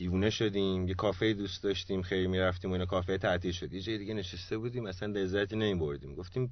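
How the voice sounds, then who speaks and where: Talking at a very fast pace with hardly any pauses, a man uses a very deep, low voice and fairly even intonation. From Iran, Malayer. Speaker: photographer and van-life traveller. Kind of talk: radio interview.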